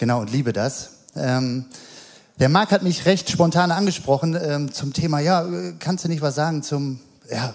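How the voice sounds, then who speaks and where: This man's voice sits at a fairly high pitch, with ordinary variation. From Mettmann, Rhineland, Germany. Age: 40s. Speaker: childcare worker. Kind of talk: sermon. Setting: church. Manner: halting, many fillers.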